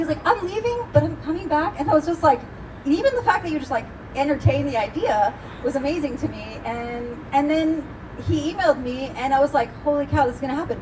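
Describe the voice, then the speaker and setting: A woman's high-pitched voice at a very fast pace, animated in tone with lively intonation, over noticeable background noise. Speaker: event host. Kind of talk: live event introduction. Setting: stage with live audience.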